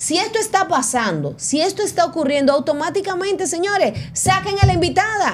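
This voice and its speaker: With an extremely high pitch and lively intonation, a woman speaks in an animated tone at a fairly quick pace with hardly any pauses over light background noise. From Venezuela. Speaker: entertainment news show host. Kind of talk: casual chat. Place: studio. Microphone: studio mic.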